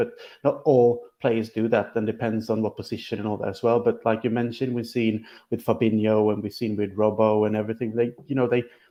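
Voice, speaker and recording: Speaking at a fairly quick pace, a man with a Swedish accent uses a medium pitch. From Sweden. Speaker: football podcast co-host. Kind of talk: casual chat.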